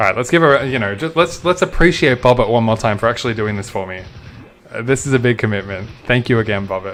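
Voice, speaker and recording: With music in the background, the speaker has a strong Australian accent, an animated tone and lively intonation, and talks at a very fast pace. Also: man, medium pitch for a man. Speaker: video game streamer. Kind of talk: live gameplay commentary. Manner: casual, animated.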